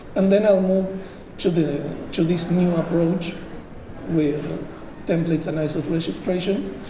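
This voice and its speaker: Amid audible room echo and noticeable background noise, a man with a high pitch speaks at a fairly slow pace with fairly even intonation and long, frequent pauses. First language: Spanish. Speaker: software engineer, conference speaker. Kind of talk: technical conference talk. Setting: conference stage with audience. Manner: halting, many fillers.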